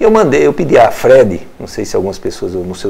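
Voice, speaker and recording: Noticeable background noise accompanies a man talking at a moderate pace. Room echo is audible. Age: 60s. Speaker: former local politician and radio broadcaster. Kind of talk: interview. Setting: studio.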